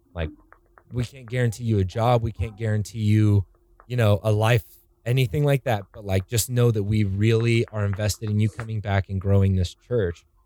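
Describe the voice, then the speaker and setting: A man with an American accent speaks at a fairly low pitch and a moderate pace. His tone is dark and mellow, and the sound is dry and close with no echo. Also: fairly even intonation. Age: 20s. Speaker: podcast host, church worship staff. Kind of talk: casual chat.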